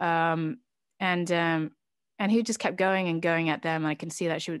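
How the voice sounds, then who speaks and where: In a slight British accent, a woman with a fairly low pitch speaks at a fairly quick pace against a quiet background. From Britain. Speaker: podcast guest, channel founder. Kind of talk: interview, personal testimony. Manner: halting, many fillers.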